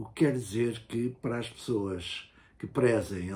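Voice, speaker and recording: At a medium pitch, a man speaks somewhat breathily at a fairly slow pace. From Portugal. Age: 70s. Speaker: university professor and writer, former political prisoner. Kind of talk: interview. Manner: hesitant, many filler sounds.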